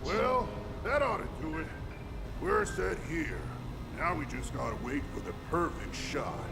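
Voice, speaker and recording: A man puts on a character voice. Loud background noise runs under him. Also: moderate pace. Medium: game stream. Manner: hearty, booming, friendly.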